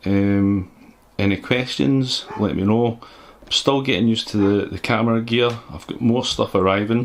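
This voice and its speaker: With a Scottish accent, a man speaks at a medium pitch and a moderate pace, his pitch varying in an ordinary way. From Scotland. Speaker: PC builder youtuber. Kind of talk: tutorial. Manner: halting.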